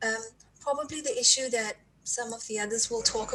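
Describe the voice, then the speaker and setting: Noticeable background noise sits under this recording. A woman speaks at a fairly high pitch with fairly even intonation. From South Africa. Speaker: environmental activist. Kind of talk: panel discussion talk. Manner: hesitant, many fillers.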